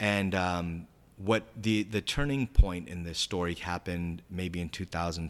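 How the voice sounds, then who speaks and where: On a very clean recording with a silent background, a man with an American accent speaks in a very deep, low pitch with ordinary pitch variation. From Southern California, San Diego. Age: 30s. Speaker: manifestation enthusiast. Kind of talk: casual interview chat. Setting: studio.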